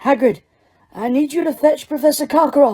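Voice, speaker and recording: A woman uses a put-on character voice pitched high. She delivers it at a fairly quick pace. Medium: read story. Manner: calm, brisk.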